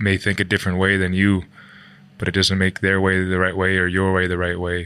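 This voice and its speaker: A man with a very deep, low pitch speaks at a moderate pace. His tone is bright and sharp, with monotone, flat intonation. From Canada. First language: English (speaking German). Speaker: ice hockey player. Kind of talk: interview. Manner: halting.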